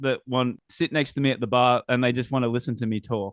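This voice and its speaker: The speaker is a man. He has a strong Australian accent. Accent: Australian, still strong. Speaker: podcast host. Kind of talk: casual interview chat.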